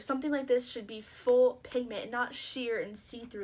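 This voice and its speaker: Pitched high, a woman speaks with ordinary pitch variation. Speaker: beauty vlogger. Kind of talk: casual vlog talk. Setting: at home after shower. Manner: fast.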